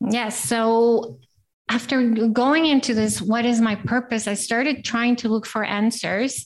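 A woman with an American accent and a plain, everyday voice speaks at a fairly high pitch, fairly slowly, with fairly even intonation. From Costa Rica, raised also in US and Italy. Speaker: life coach and entrepreneur. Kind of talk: interview.

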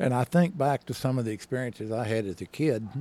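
A man with an Arkansas accent speaks in a dark, mellow tone. His pace is fairly quick and his pitch variation ordinary. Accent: US Southern (Arkansas). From northern Arkansas (Henderson, near Mountain Home). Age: 70s. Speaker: retired state trooper. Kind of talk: casual interview.

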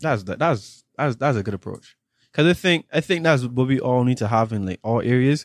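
A man speaks at a moderate pace and medium pitch with lively intonation, in an unremarkable speaking voice. The sound is dry and close with no echo, over a quiet background. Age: 20s. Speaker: podcast host, former student. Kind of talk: casual interview chat.

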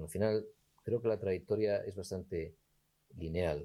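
A man speaks at a moderate pace with a dark, mellow tone. He sounds somewhat breathy, with ordinary pitch variation. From Spain, raised partly in Gijón, Asturias. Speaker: entrepreneur and lawyer. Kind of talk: interview conversation.

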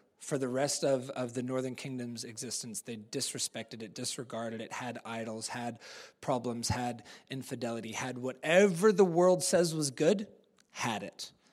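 On a very clean recording with a silent background, a man with a medium pitch speaks at a moderate pace, with ordinary pitch variation and big swings in loudness. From New Zealand. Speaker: preacher. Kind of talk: sermon. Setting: church. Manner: casual, conversational.

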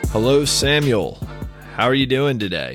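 A man puts on a robotic character voice at medium pitch, moving at a moderate pace with ordinary pitch variation. Faint music plays in the background. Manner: stiff, robotic, formal.

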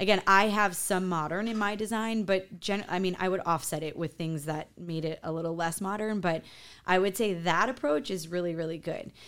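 An ordinary speaking voice from a woman, medium in pitch, at a moderate pace with ordinary pitch variation, on a very clean recording with a silent background. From US Midwest, farm town near Chicago. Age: 40s. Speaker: interior designer. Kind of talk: casual interview.

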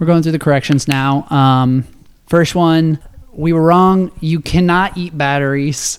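A man with an ordinary speaking voice talks at a fairly slow pace. His pitch is fairly high, and his intonation fairly even. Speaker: podcast host. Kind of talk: casual chat.

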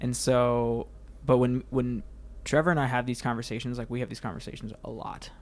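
Here a man talks in an ordinary speaking voice with medium pitch. His pace is fairly quick and his intonation fairly even. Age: 20s. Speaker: church technical director. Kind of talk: casual chat.

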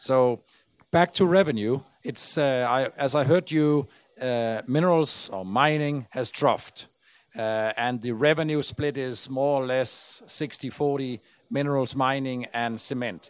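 A man with a Danish accent at medium pitch, fairly slow pace and ordinary pitch variation, in a very clean recording with a silent background. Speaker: podcast host. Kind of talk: on-stage interview. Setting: stage with audience.

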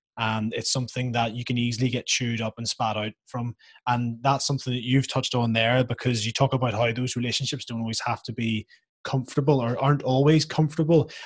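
Speaking with a Northern Irish accent, a man goes at a very fast pace, his medium-pitched, somewhat breathy voice keeping fairly even intonation. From Northern Ireland. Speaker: podcast host, rugby player. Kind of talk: casual interview.

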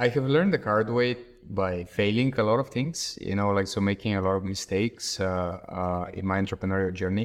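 Speaking with a Bulgarian accent, a man talks at a fairly quick pace with a fairly low pitch and ordinary pitch variation. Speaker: startup executive. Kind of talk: interview.

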